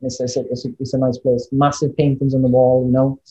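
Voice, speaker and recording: A man speaks with a Welsh accent at a medium pitch and moderate pace, somewhat breathy, in a dark, mellow tone. The sound is dry and close with no echo. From Wales. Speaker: podcast guest.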